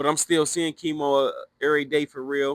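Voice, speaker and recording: A man is speaking. He has an American accent. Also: dry, close sound with no echo. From Cincinnati, Ohio, US. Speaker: former prisoner telling life story. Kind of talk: casual storytelling. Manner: loud; animated.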